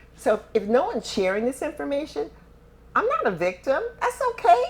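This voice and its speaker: A woman speaks at a moderate pace with noticeable noise in the background. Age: 70s. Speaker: author and motivational speaker, former realtor. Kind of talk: interview conversation.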